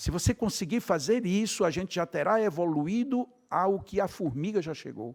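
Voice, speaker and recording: An animated man with a Brazilian accent on a very clean recording with a silent background. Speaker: spiritist lecturer. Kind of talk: lecture.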